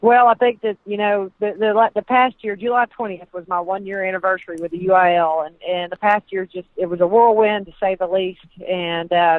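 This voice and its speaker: Hardly pausing, a woman with a Southern US accent talks at a fairly quick pace, using a medium pitch and fairly even intonation. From Texas. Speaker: sports administrator. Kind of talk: radio interview. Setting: phone call.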